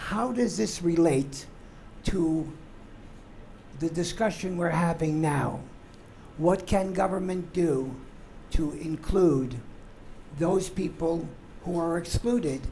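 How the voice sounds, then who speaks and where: Over noticeable background noise, someone talks very slowly, stopping often for long pauses. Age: 80s+. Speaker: audience member. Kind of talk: audience question.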